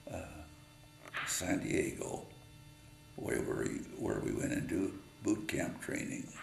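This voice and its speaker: A man with an American accent at a very slow pace, with long, frequent pauses, audible room echo and noticeable background noise. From Utah, US. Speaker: war veteran. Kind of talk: personal memoir storytelling. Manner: halting, many fillers.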